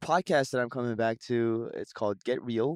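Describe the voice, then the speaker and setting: A normal speaking voice from a man of medium pitch comes through dry and close with no echo, delivered at a moderate pace with fairly even intonation. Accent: Canadian. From Vancouver, Canada. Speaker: singer. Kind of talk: casual chat. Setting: studio.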